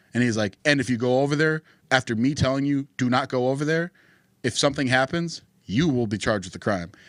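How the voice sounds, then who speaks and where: With a North Dakota accent, a man talks at a medium pitch with ordinary pitch variation in a very clean recording with a silent background. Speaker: political podcast co-host. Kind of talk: casual chat. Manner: animated.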